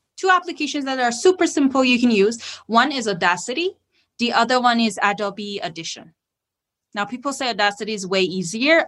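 With a Persian accent, a woman speaks fairly quickly at a high pitch with very wide pitch swings, against a quiet background. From Iran. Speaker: podcast host. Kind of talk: interview on podcasting tips.

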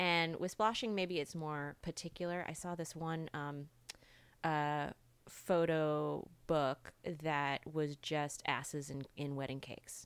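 A woman with an American accent speaks at a very slow pace with a very deep, low pitch. Her intonation is fairly even, and the recording is very clean with a silent background. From US South (rural). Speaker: sex coach and podcast host. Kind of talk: casual interview. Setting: in-person studio. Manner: halting, many fillers.

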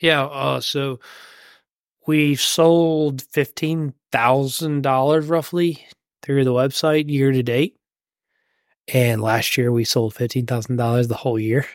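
A man's very slow, medium-pitched speech with long, frequent pauses, fairly even intonation, and very even loudness. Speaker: farmer and podcast host. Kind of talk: casual chat.

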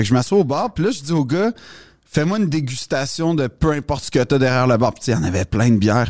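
Speaking at a very fast pace, a man with a medium pitch makes very wide pitch swings, and the sound is dry and close with no echo. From Quebec, Montreal West Island. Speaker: comedian. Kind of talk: casual chat.

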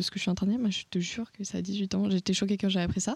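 A woman speaks in a somewhat breathy voice. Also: dry, close sound with no echo, very clean recording, silent background. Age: young. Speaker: podcast host. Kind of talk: casual chat.

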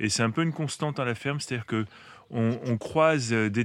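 Here a man has a plain, everyday voice at a medium pitch. His pitch variation is ordinary, over a quiet background. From Paris, France. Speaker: farmer and author. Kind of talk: interview.

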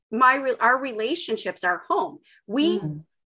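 A woman's high, bright, sharp voice with an American accent, raised and projected, very wide pitch swings, a moderate pace, and a quiet background

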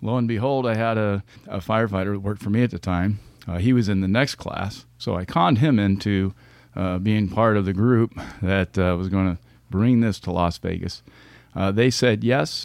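An unremarkable speaking voice moves at a moderate pace with ordinary pitch variation. The recording is very clean and the background silent. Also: man, fairly low pitch for a man. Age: 50s. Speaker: retired fire captain turned leadership consultant. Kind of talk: interview.

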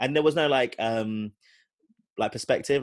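Against a quiet background, a man with a British accent talks at a very fast pace. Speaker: podcast co-host.

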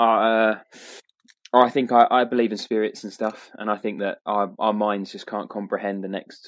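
A man with a fairly low pitch, a British accent and flat, monotone intonation. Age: 30s. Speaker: podcast co-host. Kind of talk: casual chat.

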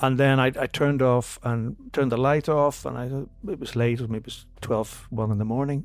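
A man with a Northern Irish accent at medium pitch, fairly even intonation, a moderate pace and hardly any pauses. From Northern Ireland, Belfast. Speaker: classical concert pianist and podcast co-host. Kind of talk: casual chat.

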